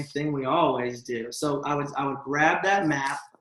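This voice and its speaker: Amid audible room echo, a man speaks at a fairly high pitch with fairly even intonation. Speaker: business coach leading a team training call. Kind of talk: training workshop. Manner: fast.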